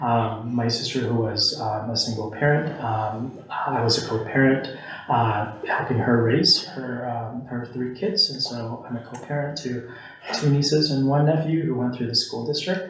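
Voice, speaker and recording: With audible room echo and noticeable background noise, a man of medium pitch speaks at a moderate pace with ordinary pitch variation. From Philippines. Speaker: university staff member and commissioner. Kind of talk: public meeting introduction. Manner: hesitant, many fillers.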